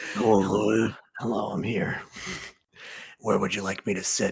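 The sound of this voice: A man's put-on character voice, raspy and fairly low in pitch, with monotone, flat intonation at a moderate pace.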